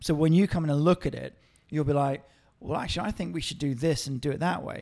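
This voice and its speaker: A man speaks at a fairly high pitch with ordinary pitch variation. It is a plain, everyday voice. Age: 30s. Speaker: podcast co-host. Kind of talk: casual chat.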